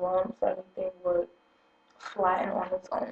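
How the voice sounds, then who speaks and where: Soft-spoken, a woman talks at a fairly slow pace in a medium pitch. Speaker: hair tutorial vlogger. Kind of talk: tutorial. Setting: at home early morning.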